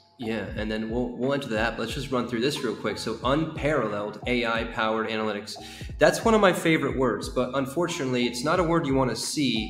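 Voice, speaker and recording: A man talks with ordinary pitch variation in audible room echo, with faint music in the background. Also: fairly quick pace. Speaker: co-host reviewing a project. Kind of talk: casual commentary. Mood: wry, amused. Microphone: headset.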